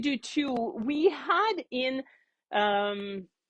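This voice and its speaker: A high-pitched woman with a French Canadian accent, her pitch swinging very widely. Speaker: knitting teacher. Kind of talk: casual show-and-tell chat. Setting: yarn shop classroom, before class. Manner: chatty, with many fillers and restarts.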